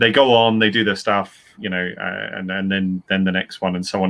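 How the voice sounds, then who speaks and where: The man's voice sits fairly low. He moves along at a fairly quick pace. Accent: British. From UK. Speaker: author and writing teacher. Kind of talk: panel discussion. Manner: halting, with frequent repetitions.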